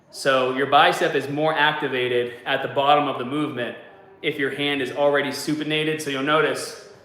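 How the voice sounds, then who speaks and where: A fairly high-pitched man with a Boston accent and monotone, flat intonation at a moderate pace, with audible room echo and noticeable background noise. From US Northeast (Boston). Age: 40s. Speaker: fitness coach / YouTuber. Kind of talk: casual livestream chat while working out.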